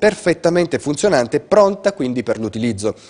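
A man talks at a very fast pace, his intonation lively. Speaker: news anchor. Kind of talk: news reading. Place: studio.

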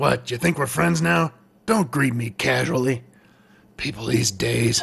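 Putting on a raspy character voice, a man speaks at a medium pitch and a moderate pace. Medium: comedy sketch. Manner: irritable, sarcastic, curt.

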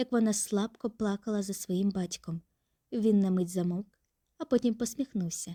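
Behind an unforced reading voice, the background stays quiet.

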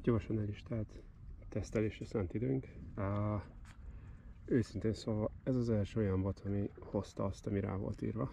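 A man with a fairly low pitch and a dark, mellow tone speaks fairly slowly, somewhat breathy, with long, frequent pauses. The sound is dry with no echo, over light background noise. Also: ordinary pitch variation. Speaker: fishing video creator. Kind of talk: outdoor product review vlog. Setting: outdoors on the Danube bank. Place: waterside. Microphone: phone near.

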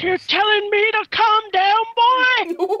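The speaker uses a put-on character voice at an extremely high pitch. The delivery moves at a fairly slow pace. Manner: indignant.

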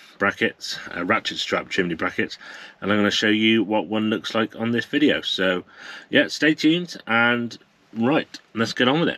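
A man's bright, sharp tone at a moderate pace. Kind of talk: casual vlog chat. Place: car. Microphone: phone near.

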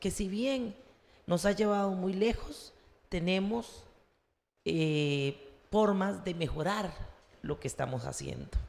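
Lively intonation marks a woman's very slow speech. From Heredia, Costa Rica. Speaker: university council candidate, economist and tutor. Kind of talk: campaign presentation at public forum. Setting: university centre hall, live-streamed. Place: classroom. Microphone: handheld.

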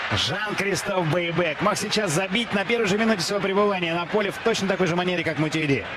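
Over noticeable background noise, a man with a high voice talks very fast in an animated, excited tone, with hardly any pauses and very even loudness. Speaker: football commentator. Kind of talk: live football commentary, race call. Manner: animated, fast-paced; excited, rapid-fire play-by-play.

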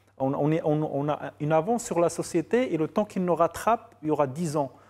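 A man's high pitch with lively intonation at a moderate pace. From Morocco, Casablanca. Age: 40s. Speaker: filmmaker and novelist; guest. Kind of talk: TV interview. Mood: relaxed, reflective, ironic. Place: studio. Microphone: lapel.

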